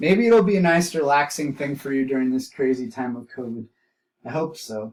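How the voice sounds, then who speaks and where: A man speaks in a plain, everyday voice with a fairly high pitch. His intonation is lively and his pace fairly quick. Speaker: art teacher. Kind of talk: lecture. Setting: home recording.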